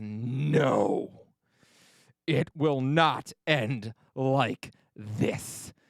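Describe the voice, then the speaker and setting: A man does a put-on character voice with a growl, at a medium pitch. The sound is dry and close, with no echo. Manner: growling, defiant.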